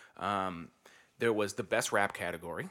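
A man's bright, sharp tone in a very clean recording with a silent background. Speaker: podcast host. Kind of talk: casual banter podcast chat. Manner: laughs often, jokey.

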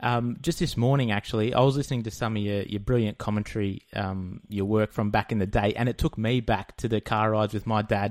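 A man's fairly low pitch at a fairly quick pace, on a very clean recording with a silent background. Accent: Australian. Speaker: podcast host. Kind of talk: casual interview.

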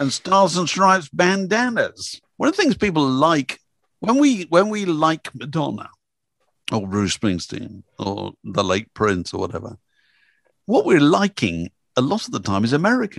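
In an English accent, a man speaks at a moderate pace and a high pitch, swinging very widely in pitch, with a dry, close sound and no echo. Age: 70s. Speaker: music journalist and author. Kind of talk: interview.

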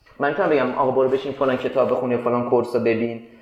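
Noticeable background noise and audible room echo surrounding a man's very fast speech. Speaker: tech startup co-founder and CTO. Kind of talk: interview conversation. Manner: casual, animated.

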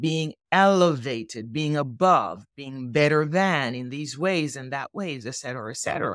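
With hardly any pauses, a woman speaks in a very deep, low voice and lively intonation. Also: moderate pace, big swings in loudness, very clean recording, silent background. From Jamaica. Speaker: philosophy professor. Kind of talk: interview on race philosophy.

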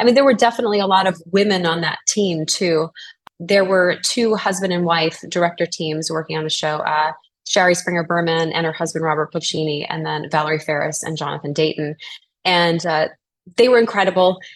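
A woman with an American accent has a normal speaking voice and a fairly low pitch. She talks at a fairly quick pace with ordinary pitch variation. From US South, New Orleans. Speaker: actress. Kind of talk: interview.

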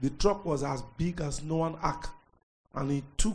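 The speaker is a man with a fairly high pitch and a dark, mellow tone. He talks at a fairly slow pace. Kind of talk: reading aloud.

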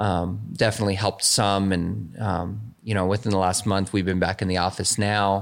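At a moderate pace, a man speaks with a very deep, low pitch and monotone, flat intonation in a very clean recording with a silent background. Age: 40s. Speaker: police officer. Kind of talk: casual interview conversation. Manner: many filler words (um, you know).

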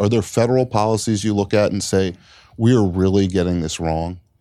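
On a very clean recording with a silent background, a man with an American accent speaks at a moderate pace, his fairly low pitch carrying ordinary variation and a dark, mellow tone. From Washington, D.C. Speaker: political reporter. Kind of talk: onstage interview. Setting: bookstore stage with audience.

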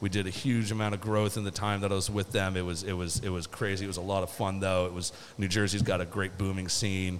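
A man with a fairly low voice and an American accent talks very fast in a monotone, flat intonation, with hardly any pauses. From Seattle. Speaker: brewer. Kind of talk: casual chat.

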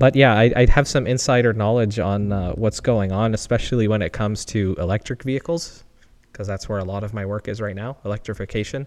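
Here is a man with a normal speaking voice, fairly low in pitch with ordinary pitch variation. He talks at a fairly quick pace against a quiet background. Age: 20s. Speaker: podcast co-host, engineering PhD student. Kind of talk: casual chat. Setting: home garage.

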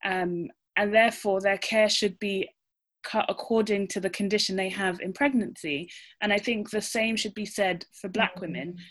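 With a British accent, a woman speaks at medium pitch and moderate pace with fairly even intonation, on a very clean recording with a silent background. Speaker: obstetrician. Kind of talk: panel discussion.

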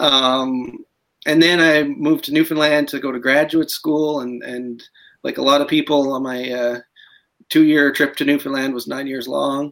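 A man with a Canadian accent talks at a moderate pace with monotone, flat intonation and big swings in loudness. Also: fairly high pitch for a man. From Alberta, Canada. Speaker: novelist. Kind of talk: interview.

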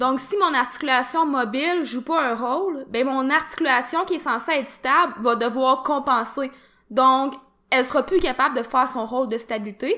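In a Quebec accent, a woman projects a raised voice at a high pitch, bright and sharp in tone, with ordinary pitch variation at a moderate pace. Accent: Québécois French. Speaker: fitness podcast co-host. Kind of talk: casual chat.

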